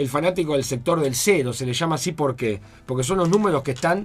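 With a Rioplatense accent, a man with a fairly high pitch talks at a fairly quick pace with lively intonation. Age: 40s. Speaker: lawyer and comedian. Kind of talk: casual chat.

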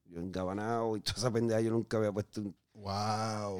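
Fairly quick and fairly even in intonation, this man has a plain, everyday voice set at a fairly low pitch. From southern Puerto Rico. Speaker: former drug addict guest. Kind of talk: testimony. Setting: studio.

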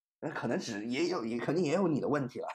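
A man with a normal speaking voice, lively intonation and a fairly quick pace, against a quiet background. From China, Shenzhen. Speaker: podcast host, university student. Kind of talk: unscripted solo podcast monologue.

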